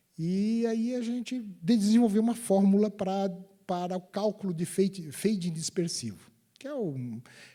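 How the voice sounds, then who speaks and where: This man has a high pitch and a dark, mellow tone. He speaks at a fairly slow pace with ordinary pitch variation. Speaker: electrical engineer, guest lecturer. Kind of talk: guest lecture to university students. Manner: halting, many repetitions and fillers.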